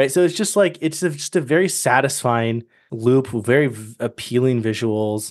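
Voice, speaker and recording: A man with a plain, everyday voice, medium pitch and lively intonation, speaking at a moderate pace against a quiet background. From Massachusetts South Shore. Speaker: gaming podcast co-host. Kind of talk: casual chat.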